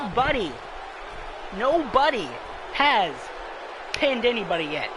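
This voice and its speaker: With audible room echo and crowd noise in the background, a man speaks at a moderate pace in an extremely high pitch with very wide pitch swings. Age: 20s. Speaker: gaming streamer. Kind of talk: live gameplay commentary. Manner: animated.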